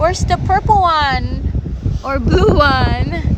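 Room echo is audible and background noise is noticeable as a woman speaks. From Philippines. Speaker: vlogger. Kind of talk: casual vlog narration. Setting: outdoors on a beach. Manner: animated.

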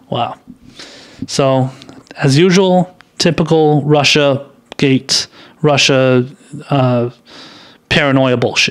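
Very slow and broken by long, frequent pauses, a man's fairly high-pitched speech keeps very even loudness and fairly even intonation. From Iran. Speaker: political commentary YouTuber. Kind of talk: political commentary monologue. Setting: live stream with chat. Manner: halting, many fillers and restarts. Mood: scornful, casual. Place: home room. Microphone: studio mic.

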